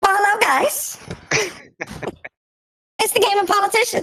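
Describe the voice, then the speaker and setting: An extremely high, squeaky put-on character voice at a moderate pace. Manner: put-on, pompous.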